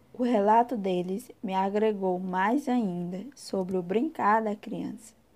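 Speaking very slowly, a woman uses a medium pitch. Her pitch varies in an ordinary way. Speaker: university student. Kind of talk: scripted narration.

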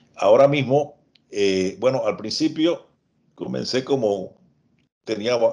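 A man talks at a fairly slow pace. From Panama, Chiriquí province. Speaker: lawyer. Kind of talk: interview. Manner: halting, many repetitions and fillers.

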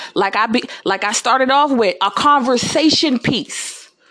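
A woman speaks with lively intonation and an animated tone. Her pitch is high. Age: 20s. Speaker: podcaster. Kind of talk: monologue.

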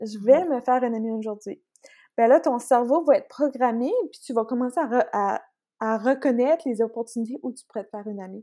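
On a very clean recording with a silent background, a woman speaks fairly quickly in a high voice with a dark, mellow tone, ordinary pitch variation and big swings in loudness. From Acadia, northern New Brunswick (Canada). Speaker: intuitive coach and Reiki practitioner. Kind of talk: casual interview.

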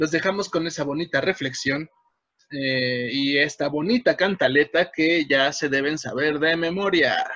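A man with a normal speaking voice talks at a fairly high pitch with ordinary pitch variation. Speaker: podcast co-host, folk dancer. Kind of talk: casual chat. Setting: home.

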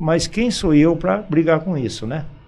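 A man's voice carries audible room echo. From Brazil, São Paulo state (Campinas/Indaiatuba). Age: 70s. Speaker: local shopkeeper and former athlete. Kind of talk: radio interview. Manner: halting, frequent repetitions.

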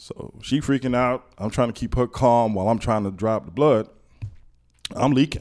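This is a man with an American accent, using a normal speaking voice at a medium pitch. His pitch varies in an ordinary way, and his pace is moderate. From Miami, Florida (Liberty City). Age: 40s. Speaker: podcast guest. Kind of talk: casual chat.

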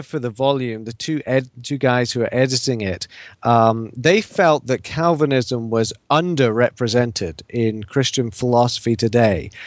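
A man with a British accent at medium pitch, fairly slow in pace, with hardly any pauses and ordinary pitch variation. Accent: British, noticeable to US listeners. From England and Scotland (English parents, mostly Edinburgh). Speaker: professor of theology and philosophy. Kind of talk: interview on theology.

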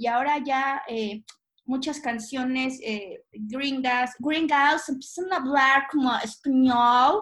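A woman talks very slowly, her high pitch showing ordinary variation. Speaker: podcast co-host. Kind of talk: casual chat.

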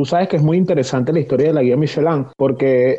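Ordinary pitch variation in a Venezuelan accent. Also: man. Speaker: cook and podcast co-host. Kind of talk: casual chat.

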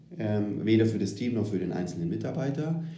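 Audible room echo surrounds a man talking at a moderate pace with lively intonation. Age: 30s. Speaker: agile transformation consultant. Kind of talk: casual interview.

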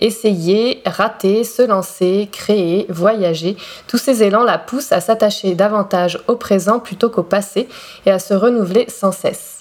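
Speech comes at a very slow pace with very even loudness and fairly even intonation, over noticeable background noise. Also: woman, medium pitch for a woman. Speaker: podcast host and dancer. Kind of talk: scripted introduction. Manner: elegant, poetic delivery.

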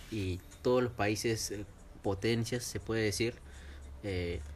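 With music in the background and audible room echo, a man speaks at a fairly slow pace in a fairly low pitch with lively intonation. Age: 20s. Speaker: podcast host. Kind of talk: casual chat.

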